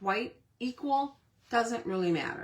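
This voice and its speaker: A woman speaks in a fairly high pitch with lively intonation. Noticeable background noise runs underneath. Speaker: cardmaking tutorial host. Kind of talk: tutorial. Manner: conversational, step-by-step.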